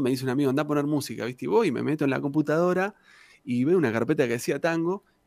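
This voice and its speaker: With a fairly high pitch, a man is heard in a very clean recording where the background is silent. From Argentina, Santa Cruz (Patagonia). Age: 40s. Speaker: tango singer and guitarist. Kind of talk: casual interview chat.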